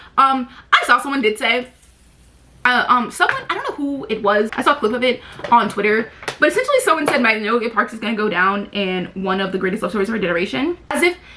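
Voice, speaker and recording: Noticeable background noise sits behind a woman speaking at a very fast pace. Her pitch is fairly high and her intonation lively. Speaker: book vlogger. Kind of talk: casual chat.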